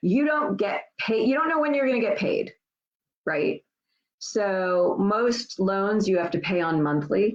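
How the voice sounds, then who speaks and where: A woman at medium pitch makes very wide pitch swings. She keeps a fairly slow pace and very even loudness. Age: 60s. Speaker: tax lien investing educator. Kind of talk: live Q&A stream. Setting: livestream. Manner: casual, many fillers.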